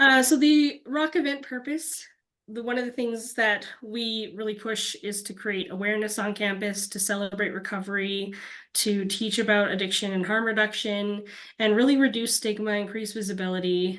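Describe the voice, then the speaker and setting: Her voice is an unremarkable speaking voice, fairly high in pitch, with ordinary pitch variation and a moderate pace. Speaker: program coordinator presenting event funding. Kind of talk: webinar presentation.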